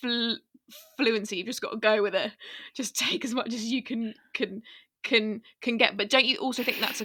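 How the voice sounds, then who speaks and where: A woman with a British accent, a fairly high pitch, a bright, sharp tone and fairly even intonation. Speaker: podcast co-host. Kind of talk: casual chat. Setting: remote recording from home.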